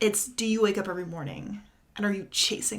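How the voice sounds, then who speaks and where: A woman speaks at a moderate pace in a medium-pitched voice. Her intonation is lively, and the room echo is audible. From Kentucky, Louisville. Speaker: startup founder. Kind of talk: interview.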